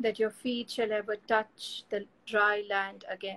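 A woman speaks with an Indian accent at a very slow pace. Her intonation stays fairly even. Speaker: poet and host. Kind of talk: live online poetry reading and conversation. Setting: video call, live stream. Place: home room. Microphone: video call.

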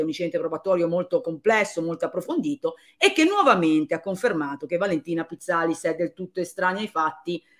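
Against a quiet background, a woman speaks in a fairly low pitch with ordinary pitch variation. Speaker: commentator on a legal case. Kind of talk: commentary. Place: home room. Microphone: phone near.

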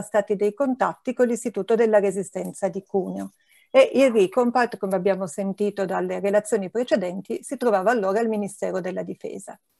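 This woman talks at a fairly quick pace with ordinary pitch variation. The sound is dry with no echo, and the background is quiet. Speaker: historian at a resistance history institute. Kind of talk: conference presentation. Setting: online live-streamed event. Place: home room. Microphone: earbuds.

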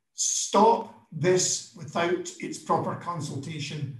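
With a Scottish accent and high pitch, a man talks at a very slow pace with ordinary pitch variation, audible room echo, and a quiet background. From Scotland. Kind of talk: impassioned speech. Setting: video call. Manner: animated. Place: office. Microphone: webcam.

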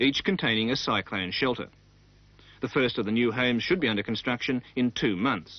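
The speech moves at a fairly quick pace, with a dry sound and no echo. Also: man. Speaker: news reporter. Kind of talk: news report narration.

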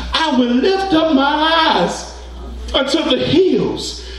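A man speaks at an extremely high pitch. Light background noise and audible room echo surround the voice. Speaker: preacher. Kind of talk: sermon preaching. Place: church.

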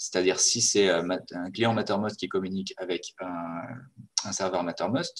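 A man with a very deep, low voice. He speaks very slowly with fairly even intonation. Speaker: webinar presenter. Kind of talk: webinar presentation. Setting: video call.

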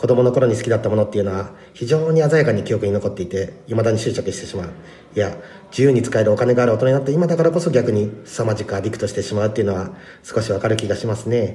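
A man talks at a very fast pace with a medium pitch and ordinary pitch variation. Noticeable background noise sits behind him. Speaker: rapper. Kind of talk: episode review talk.

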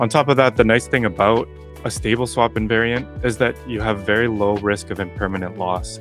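A fairly low male voice at a moderate pace with ordinary pitch variation, in a dry sound with no echo over faint music in the background. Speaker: guest. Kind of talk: interview answer. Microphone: studio mic.

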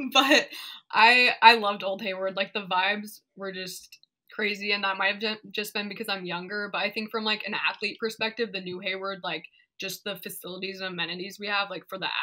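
The pace is fairly quick, with big swings in loudness. The background is quiet. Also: woman. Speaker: remote podcast guest. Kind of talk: interview answer. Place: home room.

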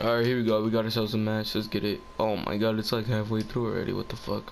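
A man's fairly low voice at a very fast pace, with noticeable background noise. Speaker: gaming youtuber. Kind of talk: gameplay commentary. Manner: animated.

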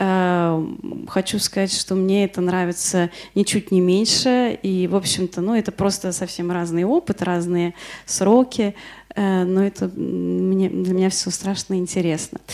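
With a dark, mellow tone and fairly even intonation, a woman speaks at a very slow pace over a quiet background. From Moscow, Russia. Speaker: illustrator and workshop lecturer. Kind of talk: lecture. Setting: workshop in front of an audience. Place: classroom. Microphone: handheld.

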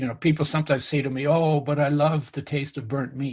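Somewhat breathy and fairly high-pitched, this man's voice holds a flat, monotone delivery at a moderate pace on a very clean recording with a silent background. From Canada, after early childhood in wartime Europe. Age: 70s. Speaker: nutrition author and health expert. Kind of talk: interview conversation.

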